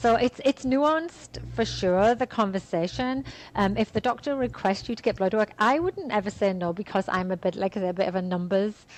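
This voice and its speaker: Here is a plain, everyday voice at a moderate pace. Its pitch varies in an ordinary way. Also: woman. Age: 50s. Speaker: fitness and women's health expert. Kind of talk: podcast interview.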